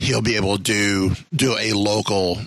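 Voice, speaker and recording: A man speaks in a fairly low voice over noticeable background noise. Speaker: podcast host. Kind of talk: casual interview.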